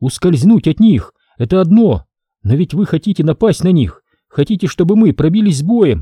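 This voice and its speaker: Pitched high, a man's voice takes on a put-on character. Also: moderate pace, dry, close sound with no echo. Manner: whispering.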